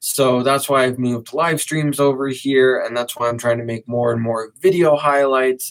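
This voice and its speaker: With hardly any pauses, a man speaks at medium pitch with fairly even intonation in an unremarkable speaking voice. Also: moderate pace. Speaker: podcaster and content creator. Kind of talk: casual podcast monologue. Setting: live stream recording session.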